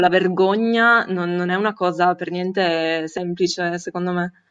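A woman's normal speaking voice at medium pitch and a moderate pace. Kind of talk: discussion contribution. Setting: video call.

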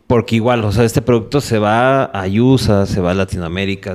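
With a plain, everyday voice, a man speaks at a fairly low pitch and a moderate pace with ordinary pitch variation, in a very clean recording with a silent background. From Mexico City. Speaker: bass player and entrepreneur. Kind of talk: interview conversation.

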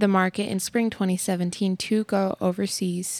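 A woman with an American accent talks in a normal speaking voice at a medium pitch with fairly even intonation. The sound is dry and close, with no echo. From Texas. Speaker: family podcast co-host. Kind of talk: casual chat.

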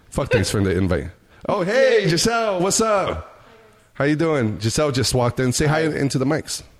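Fairly high male voice with vocal fry, very wide pitch swings and a moderate pace. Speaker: podcast host.

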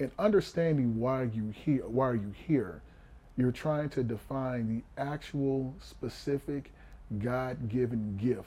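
The voice has a dark, mellow tone and sounds somewhat breathy. It moves at a fairly slow pace with ordinary pitch variation. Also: man. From Houston, Texas. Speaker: former pro football player and coach. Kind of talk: interview conversation.

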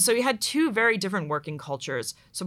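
A woman talks with an American accent and lively intonation. Her tone is bright and sharp in a very clean recording with a silent background. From Pittsburgh, Pennsylvania. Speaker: tech community manager. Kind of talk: casual interview chat.

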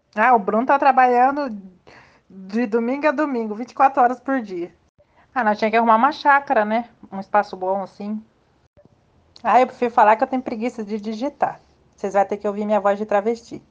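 Speaking at a fairly quick pace with long, frequent pauses, a woman uses a fairly high pitch and ordinary pitch variation. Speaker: old schoolmate organizing reunion. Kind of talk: casual group chat.

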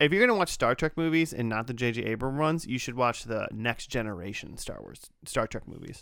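A man with an unremarkable speaking voice talks at a fairly quick pace with hardly any pauses. His medium pitch moves with lively intonation in a very clean recording with a silent background. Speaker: podcast host. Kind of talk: casual banter.

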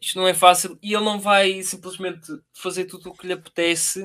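A bright, sharp tone comes at a moderate pace on a very clean recording with a silent background. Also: man. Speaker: podcast co-host. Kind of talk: casual chat.

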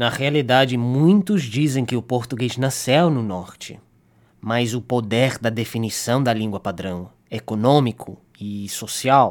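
A man speaks at a fairly slow pace with an English accent, his pitch medium and its variation ordinary. The recording is very clean, with a silent background. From Canada. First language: English (speaking Portuguese). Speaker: linguistics student. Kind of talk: scripted narration.

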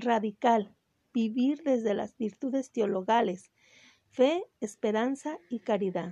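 A woman speaks very slowly in a high, dark, mellow voice with ordinary pitch variation. The sound is dry and close, with no echo. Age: 50s. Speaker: religious program host, theology graduate. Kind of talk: lecture.

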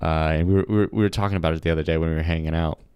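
This man has a very deep, low voice with ordinary pitch variation. He talks at a very fast pace. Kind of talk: casual chat. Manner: casual, filler-heavy and stammering.

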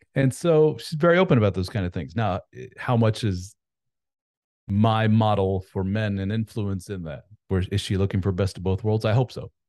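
Over a quiet background, a man with a fairly low pitch and a dark, mellow tone speaks with lively intonation. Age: 40s. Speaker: author and men's coach. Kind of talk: casual interview chat.

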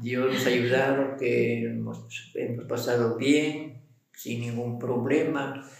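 A man at a medium pitch speaks at a very slow pace in a monotone, flat intonation, with audible room echo and noticeable background noise. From Ecuador, Vilcabamba (Loja). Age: 80s+. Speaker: retired civil servant, husband. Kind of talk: casual interview, storytelling.

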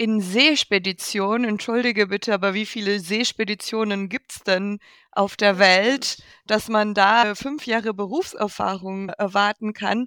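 With a non-native accent, the voice moves at a fairly slow pace in a bright, sharp tone with fairly even intonation, in a very clean, dry and close recording with no echo and a silent background. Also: woman, medium pitch for a woman. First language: not German (speaking German). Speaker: podcast co-host and producer. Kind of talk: casual chat.

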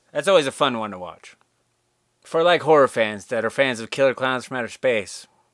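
A man with a normal speaking voice talks at medium pitch and a fairly quick pace, with lively intonation. His loudness swings widely, and the sound is dry and close with no echo. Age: 30s. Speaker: podcast host. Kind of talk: casual solo monologue. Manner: casual, laid-back.

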